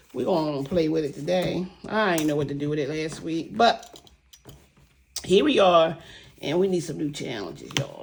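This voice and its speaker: A woman's animated, fairly quick delivery against noticeable background noise. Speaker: savings challenge vlogger. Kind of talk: casual vlog chat. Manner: fast.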